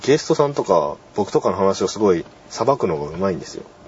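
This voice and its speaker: A man talks at a fairly quick pace with lively intonation amid noticeable background noise. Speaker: university club radio host. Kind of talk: casual solo talk. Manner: halting.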